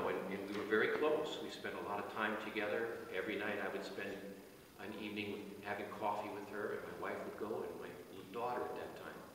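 Strong room echo and light background noise surround speech delivered at a fairly quick pace. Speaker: officiant at a burial service. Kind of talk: sermon at a burial service, reading psalm and offering comfort. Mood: solemn, personal, comforting. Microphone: camera far.

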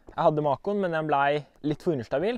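The man's voice sits fairly high, with ordinary pitch variation. The sound is dry with no echo, against a quiet background. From Norway. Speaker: disc golf player. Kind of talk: equipment walkthrough. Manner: casual, halting. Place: garden.

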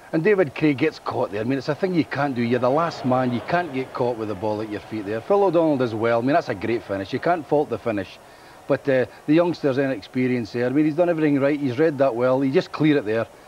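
Over noticeable background noise, a man speaks very fast in a medium pitch, with ordinary pitch variation and hardly any pauses. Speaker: football pundit. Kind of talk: post-match studio analysis.

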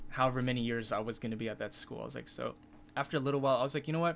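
Light background noise hums behind a man who talks at a very fast pace. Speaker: live streamer. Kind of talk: casual storytelling to stream chat.

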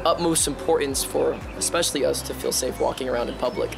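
Very fast speech over clear background music. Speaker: guest martial arts instructor. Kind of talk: interview answer. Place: street.

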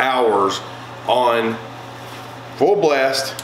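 The tone is fairly bright. Audible room echo surrounds the voice. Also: man.

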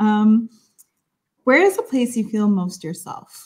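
Lively intonation at a fairly slow pace, in an American accent. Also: woman. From Brooklyn, New York, Salvadoran family. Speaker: podcast co-host. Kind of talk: casual chat. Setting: at home. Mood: warm, relaxed. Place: home room. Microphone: webcam.

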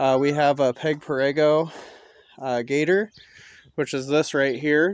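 Fairly even intonation from a man. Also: dry sound with no echo. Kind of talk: casual tutorial vlog. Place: open country. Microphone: phone near.

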